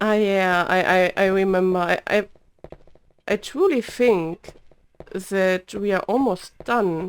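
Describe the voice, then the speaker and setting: A woman with a German accent talks quietly at a very slow pace, with long, frequent pauses. Her loudness stays very even and her intonation fairly even. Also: medium pitch for a woman. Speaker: vtuber gamer. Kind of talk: let's play commentary. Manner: halting, many repeats.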